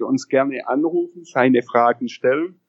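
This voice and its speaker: His pitch is fairly high, with ordinary variation. The man speaks at a moderate pace. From Upper Bavaria, Germany. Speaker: CBD product entrepreneur. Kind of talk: interview. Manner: hesitant, many filler sounds.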